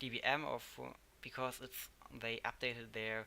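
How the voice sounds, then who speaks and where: A man with a German accent speaks at a medium pitch and a fairly slow pace. His tone is bright and sharp, and his intonation is monotone and flat. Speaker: tech tutorial youtuber. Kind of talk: tutorial. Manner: halting.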